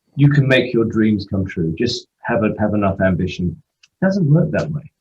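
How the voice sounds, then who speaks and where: The man's voice is somewhat breathy, with very wide pitch swings. He speaks with an English accent. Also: medium pitch for a man, moderate pace. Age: 60s. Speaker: football agent. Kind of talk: interview.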